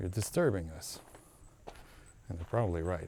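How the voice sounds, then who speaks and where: A man's very deep, low pitch in a somewhat breathy voice with a dark, mellow tone. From Aruba. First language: Papiamento. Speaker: travel vlogger. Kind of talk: casual vlog narration. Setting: outdoors at night on a hiking trail.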